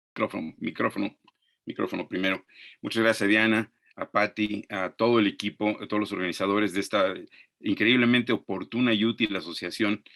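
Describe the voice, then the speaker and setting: A man with a Mexican accent talks at a fairly quick pace in a fairly low voice, his intonation fairly even, the sound dry and close with no echo against a quiet background. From Mexico. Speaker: archaeologist and professor. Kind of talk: webinar lecture. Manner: very fast.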